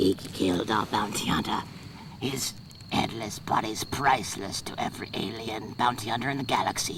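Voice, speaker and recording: A man performs a put-on character voice over clear background noise. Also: medium pitch for a man, moderate pace. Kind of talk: audio drama dialogue.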